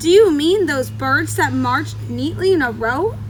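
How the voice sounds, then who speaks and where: A loud, put-on character voice at a moderate pace, with clear background noise behind it. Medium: read story. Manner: loud, hearty.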